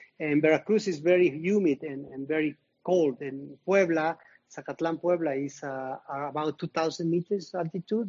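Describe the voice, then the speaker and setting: With a Mexican accent, a man speaks at a moderate pace in a fairly high pitch, using ordinary pitch variation. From Mexico. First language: Spanish. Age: 50s. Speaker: retired marathon runner. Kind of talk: interview. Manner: halting, with repetitions.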